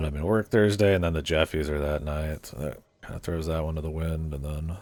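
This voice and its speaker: Quiet and at a fairly quick pace, a man talks with a very deep, low pitch and ordinary pitch variation. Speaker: game streamer. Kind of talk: casual chat. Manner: slurring, a little quiet.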